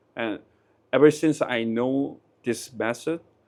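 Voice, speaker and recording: A man speaks at a medium pitch in a Korean accent. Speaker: interviewee. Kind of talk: street interview. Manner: halting.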